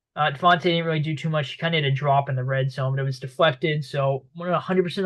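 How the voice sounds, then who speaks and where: A man's very fast speech with a slight Boston accent and fairly even intonation. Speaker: sports commentator. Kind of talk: sports recap monologue. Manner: casual, many fillers.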